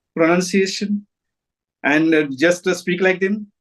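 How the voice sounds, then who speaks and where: Against a quiet background, a man speaks with a Marathi accent. His pitch is high and his pace fairly slow. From India, Maharashtra. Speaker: retired English teacher. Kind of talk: casual chat.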